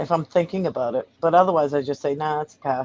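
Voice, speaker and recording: Heard in a dry, close sound with no echo, a woman speaks with a Massachusetts accent. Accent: Massachusetts accent, non-rhotic. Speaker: podcast co-host. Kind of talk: casual chat.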